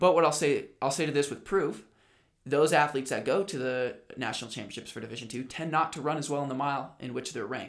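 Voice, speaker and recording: Talking at a very fast pace, a man uses ordinary pitch variation. His loudness swings widely. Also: fairly high pitch for a man. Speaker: podcast host and athlete. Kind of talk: casual chat.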